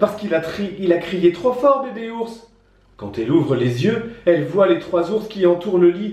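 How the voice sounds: A natural reading voice is heard in this clip.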